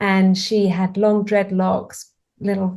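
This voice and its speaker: At a fairly slow pace, a woman with a British accent speaks at a medium pitch in a dark, mellow, somewhat breathy tone. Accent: English (UK). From England. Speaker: author. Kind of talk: interview conversation.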